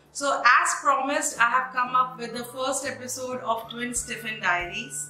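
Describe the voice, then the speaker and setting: A woman's high-pitched voice with clear music in the background. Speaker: cooking channel host. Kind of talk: casual vlog chat. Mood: cheerful, friendly. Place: home room.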